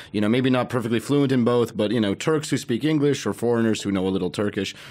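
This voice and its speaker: Spoken with a Russian accent at a very fast pace. The pitch varies in an ordinary way. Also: man, medium pitch for a man. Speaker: podcast host, comedian. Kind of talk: casual chat.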